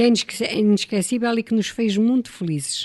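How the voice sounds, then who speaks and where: Heard dry and close with no echo, a woman speaks with ordinary pitch variation. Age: 60s. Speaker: radio guest reminiscing. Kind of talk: radio interview, personal reminiscence.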